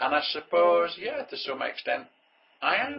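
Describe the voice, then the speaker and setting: With a northern English accent, a man speaks at a fairly slow pace. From northern England. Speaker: entrepreneur. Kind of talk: motivational monologue. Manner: conversational.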